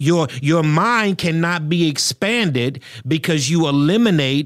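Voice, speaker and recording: This man has an unremarkable speaking voice, fairly high in pitch for a man, with ordinary pitch variation and a fairly slow pace. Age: 40s. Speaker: pastor and podcast host. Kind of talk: solo podcast commentary. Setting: studio.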